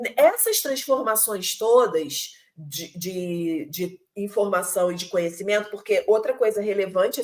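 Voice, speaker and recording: A woman with a Rio de Janeiro accent talks at a fairly slow pace, her pitch varying in an ordinary way. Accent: Carioca Brazilian Portuguese. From Rio de Janeiro, Brazil. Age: 40s. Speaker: teacher. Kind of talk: online lecture. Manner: hesitant, many fillers and repetitions.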